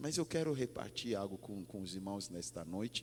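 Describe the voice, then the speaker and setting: Speaking at a fairly slow pace, a man with a very deep, low pitch carries a slight non-native accent. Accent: slight foreign accent in Portuguese. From Ghana. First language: English (speaking Portuguese). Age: 40s. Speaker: pastor. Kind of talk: sermon. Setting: church. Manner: halting.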